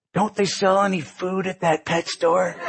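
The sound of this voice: This put-on character voice sits at a middle pitch with monotone, flat intonation. It moves at a moderate pace.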